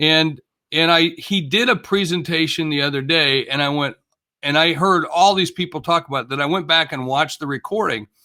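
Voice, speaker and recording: An unremarkable speaking voice from a man, fairly high for a man, fairly quick, with ordinary pitch variation. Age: 60s. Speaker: motivational speaker and business executive. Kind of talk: podcast interview.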